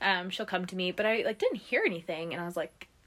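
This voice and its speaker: Noticeable background noise can be heard behind a woman's voice. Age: 20s. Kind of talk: casual chat.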